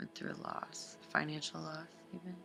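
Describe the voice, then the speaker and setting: A woman talks fairly slowly as music plays behind her. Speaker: tarot reader. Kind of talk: tarot reading to camera.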